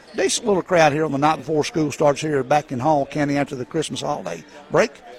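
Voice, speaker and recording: A man talks at a very fast pace with fairly even intonation. His pitch is fairly high, and noticeable background noise is present. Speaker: color commentator and game announcer. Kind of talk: live play-by-play sports commentary. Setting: courtside at a high school gym broadcast. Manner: rapid-fire, clipped play-by-play delivery, rattling off names and scores.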